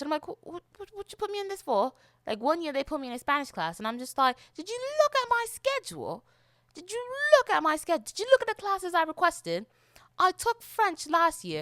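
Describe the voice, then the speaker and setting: A woman's extremely high-pitched voice in a British accent, very fast, bright and sharp in tone, with very wide pitch swings, big swings in loudness, and a dry, close sound with no echo. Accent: put-on British accent over American. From South Florida. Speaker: podcast host. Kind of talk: casual solo podcast monologue.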